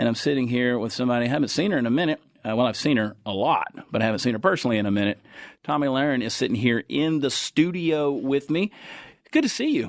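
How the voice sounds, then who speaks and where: In a Texan accent, a man talks at a very fast pace with medium pitch and ordinary pitch variation. The background is quiet. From Texas. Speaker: podcast host and comedian. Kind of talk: casual interview chat. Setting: studio.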